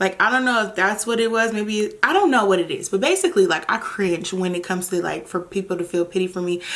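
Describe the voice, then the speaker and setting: Over noticeable background noise, a woman at a medium pitch talks with hardly any pauses and ordinary pitch variation. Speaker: vlogger. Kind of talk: casual monologue to camera. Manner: halting, stuttering and pausing.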